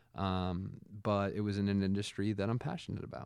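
A normal speaking voice, a man talks at a moderate pace with a fairly low pitch. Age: 30s. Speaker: podcaster in addiction recovery. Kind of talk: casual chat.

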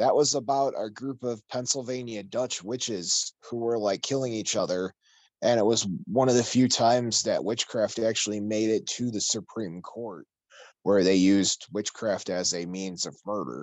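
This man has a plain, everyday voice, pitched at a medium level, with ordinary pitch variation and a moderate pace. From Chicago, US. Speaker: paranormal podcast host. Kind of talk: casual chat.

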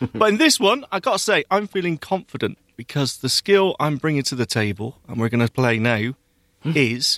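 A man with a British accent, very wide pitch swings, dry, close sound with no echo. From UK. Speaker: podcast co-host. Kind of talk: casual chat. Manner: animated.

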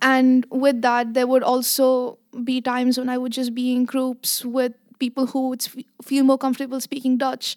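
The sound is dry and close, with no echo. A woman speaks at a moderate pace in a high, monotone, flat voice. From Abu Dhabi, UAE (Indian family). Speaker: university student. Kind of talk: casual interview.

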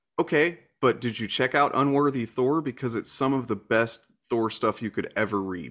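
With an American accent, a man speaks at a medium pitch and a moderate pace. His pitch variation is ordinary, and the recording is very clean with a silent background. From US Deep South. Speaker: YouTuber. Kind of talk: interview. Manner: halting, many fillers.

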